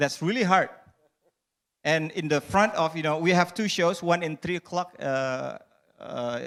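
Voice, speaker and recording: Here is a man with an Indonesian accent. His voice is high, and his intonation is lively. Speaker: stand-up comedian. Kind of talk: panel discussion. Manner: halting.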